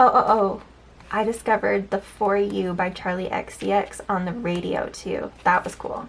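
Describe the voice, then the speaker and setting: Distinct background noise is present. Over it, a woman talks. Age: 30s. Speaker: planner vlogger. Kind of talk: casual planner flip-through vlog. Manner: halting, repeats words.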